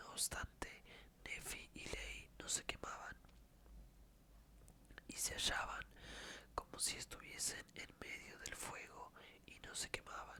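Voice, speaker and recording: A very slow whisper with long, frequent pauses. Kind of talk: ASMR scripture reading. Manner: whispered.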